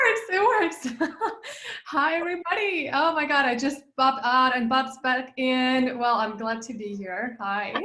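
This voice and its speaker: In a raised, projected voice with a Russian accent, a woman speaks at a fairly slow pace with high pitch and lively intonation, amid noticeable background noise and audible room echo. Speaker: business coach, passive income expert. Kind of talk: interview. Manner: animated.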